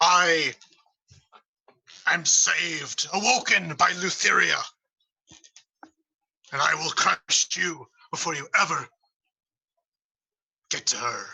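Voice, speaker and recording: Bellowing in a put-on character voice with a high pitch, a man speaks at a fairly slow pace with long, frequent pauses. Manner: bellowing, threatening.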